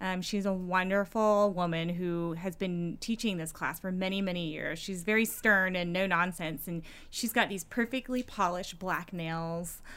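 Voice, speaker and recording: A plain, everyday voice with an American accent talks at a moderate pace, hardly pausing. Intonation stays fairly even, and the recording is very clean with a silent background. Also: woman, medium pitch for a woman. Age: 30s. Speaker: political candidate. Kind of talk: casual interview.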